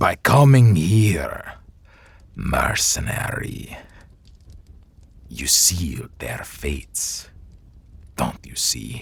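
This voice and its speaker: A man's put-on character voice, raspy and menacing, very deep and low in pitch with very wide pitch swings, very slow pace, and long, frequent pauses. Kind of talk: audio roleplay. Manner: slow, menacing.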